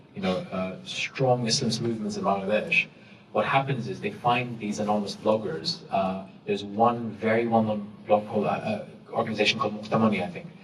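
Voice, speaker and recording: A man's medium-pitched voice with lively intonation over noticeable background noise. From Saudi Arabia and East London. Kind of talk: panel talk to student audience.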